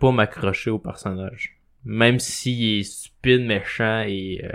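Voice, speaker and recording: A man with a Quebec accent speaks at a medium pitch on a very clean recording with a silent background. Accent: Québécois French. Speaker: podcast guest. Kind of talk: casual chat. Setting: studio.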